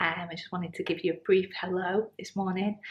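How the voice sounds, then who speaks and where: A woman speaks softly and somewhat breathily. Her intonation is monotone and flat. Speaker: vlogger. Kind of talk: casual vlog. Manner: quiet, speaking softly; hesitant, many ums.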